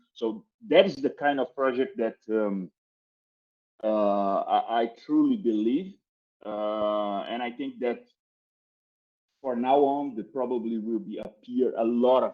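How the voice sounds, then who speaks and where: A man with a Brazilian accent at a medium pitch, fairly slow pace, lively intonation and long, frequent pauses. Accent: non-native English, Brazilian. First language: Portuguese. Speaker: crypto marketing executive. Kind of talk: podcast interview. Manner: halting, many repetitions and fillers.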